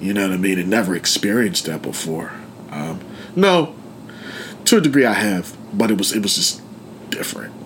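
A man with fairly low pitch and an American accent, lively intonation, a fairly quick pace broken by long, frequent pauses, and noticeable background noise. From Pittsburgh, Pennsylvania. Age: 30s. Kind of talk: interview, life story. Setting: studio. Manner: casual, halting with fillers.

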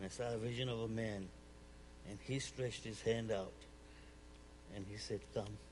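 Somewhat breathy, a man speaks at a fairly low pitch and moderate pace, leaving long, frequent pauses. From Uganda, East Africa. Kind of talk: church talk, personal testimony with humor. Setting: church stage with audience, wearing a mic. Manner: animated, humorous.

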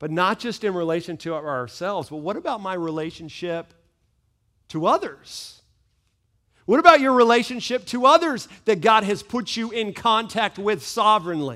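In a very clean recording with a silent background, a man speaks at a moderate pace in a raised, projected, high-pitched voice, with very wide pitch swings and big swings in loudness. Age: 40s. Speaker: pastor. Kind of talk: sermon. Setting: church. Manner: animated.

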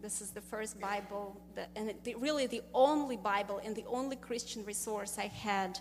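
Over noticeable background noise, a woman with a Russian accent speaks at a moderate pace in a fairly high voice with fairly even intonation. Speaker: business owner. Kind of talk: testimony.

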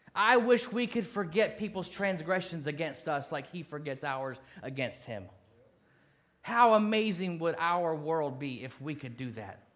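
In a room with audible echo, a man speaks fairly slowly in a high pitch, with very wide pitch swings and big swings in loudness. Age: 40s. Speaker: pastor. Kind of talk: sermon.

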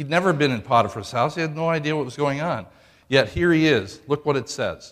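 This man has a normal speaking voice, set fairly high, moving at a fairly quick pace with ordinary pitch variation in a very clean recording with a silent background. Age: 60s. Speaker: pastor. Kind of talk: sermon. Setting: church.

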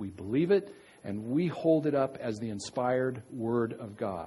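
A man with a dark, mellow tone speaks at a medium pitch, his intonation lively, with audible echo from the room. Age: 50s. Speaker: pastor. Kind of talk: sermon. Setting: church. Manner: halting.

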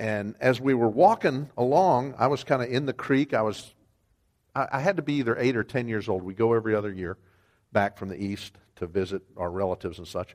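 Through a very clean recording with a silent background, a man with a normal speaking voice and an American accent talks at a fairly quick pace, his medium pitch carrying lively intonation. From Wyoming, US. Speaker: ministry developer and guest preacher. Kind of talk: sermon.

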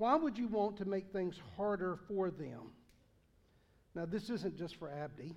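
A man talks with a strong Southern US accent at a high pitch. His intonation is lively. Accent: Southern US, thick. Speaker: pastor. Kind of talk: sermon.

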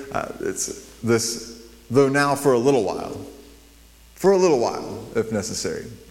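Lively intonation marks this man's delivery. Audible room echo and noticeable background noise surround him. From New Mexico. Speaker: guest preacher. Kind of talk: sermon. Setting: church.

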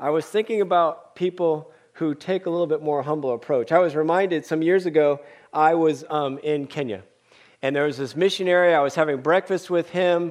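A man with an American accent speaks at a fairly quick pace, his fairly high voice showing ordinary pitch variation. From US West Coast, San Francisco Bay Area. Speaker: pastor and former missionary. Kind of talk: sermon. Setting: church service.

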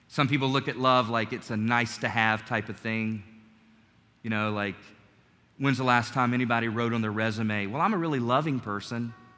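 In a room with audible echo, a man with an American accent talks at a medium pitch with fairly even intonation. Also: fairly quick pace. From US South, North Carolina. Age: 40s. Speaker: preacher. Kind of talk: Sunday church sermon, personal testimony and exhortation, closing in prayer. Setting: church service with congregation. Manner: earnest, conversational preaching with frequent stumbles and repeated words; warm, gentle and calm, sincere rather than fiery.

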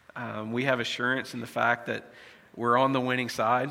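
In an American accent, a man speaks at a moderate pace and medium pitch with a bright, sharp tone, and room echo is audible. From United States. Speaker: pastor. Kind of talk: sermon. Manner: halting, many fillers.

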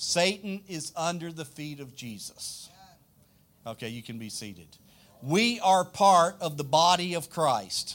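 With a Louisiana accent, a man speaks fairly slowly at a fairly high pitch, his intonation lively and his loudness swinging widely. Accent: Southern US (Louisiana). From South Louisiana, US. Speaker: pastor. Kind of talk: sermon. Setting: church.

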